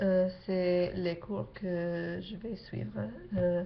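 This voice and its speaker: Speaking very slowly in an English accent, a woman with a medium pitch uses very wide pitch swings, with noticeable background noise and audible room echo. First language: English (speaking French). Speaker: exchange student vlogger. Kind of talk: casual vlog. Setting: webcam at home late at night. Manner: halting, many hesitations.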